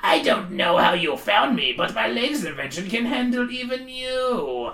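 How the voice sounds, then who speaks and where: A put-on character voice, female-sounding, fairly high in pitch, at a moderate pace. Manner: snarling.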